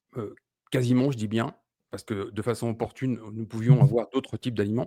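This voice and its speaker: Dark, mellow tone from a man at a medium pitch. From France. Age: 40s. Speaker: keto diet community founder. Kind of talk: podcast interview.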